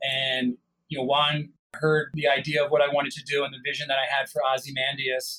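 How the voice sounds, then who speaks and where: A man with an American accent talks at a fairly quick pace. His fairly high voice stays monotone and flat. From US, Italian American family. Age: 40s. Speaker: wine company founder. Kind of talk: interview.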